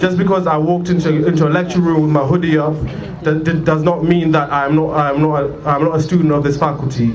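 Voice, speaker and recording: Over noticeable background noise and audible room echo, a man speaks very fast in a fairly high, monotone, flat voice at very even loudness. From Zimbabwe. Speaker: protest speaker, law student. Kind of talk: protest speech. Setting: outdoor protest rally.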